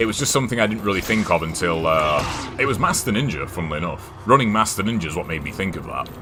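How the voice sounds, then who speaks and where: Over music in the background and audible room echo, a man with an American accent talks at a very fast pace with a fairly low pitch and lively intonation. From England. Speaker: gaming streamer. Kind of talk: casual chat while gaming. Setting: live stream. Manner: halting, many fillers and restarts.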